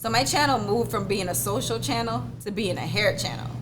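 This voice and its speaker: A woman talks at a fairly quick pace. Noticeable background noise and audible room echo surround her. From Jamaica, Clarendon. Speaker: hair YouTuber and business owner. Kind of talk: casual podcast interview.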